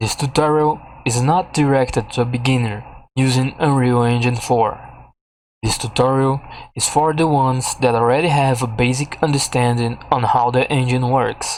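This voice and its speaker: In a very clean recording with a silent background, a man with a non-native accent speaks at a medium pitch and moderate pace with fairly even intonation. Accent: heavy non-native. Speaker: game development tutorial maker. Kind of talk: tutorial. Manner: halting.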